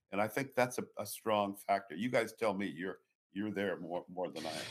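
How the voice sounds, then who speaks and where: With an American accent, a man talks at a fairly quick pace in an ordinary speaking voice, fairly low in pitch with ordinary pitch variation. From United States. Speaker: author and political commentator. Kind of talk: casual interview chat.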